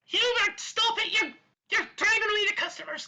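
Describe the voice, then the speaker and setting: A put-on character voice pitched extremely high, delivered at a moderate pace. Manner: irritated, scolding.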